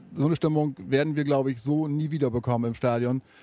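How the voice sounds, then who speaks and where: Speaking at a very fast pace, a man has a medium pitch and a dark, mellow tone. His intonation is fairly even, and the sound is dry and close with no echo. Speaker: football fan. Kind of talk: interview. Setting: empty football stadium.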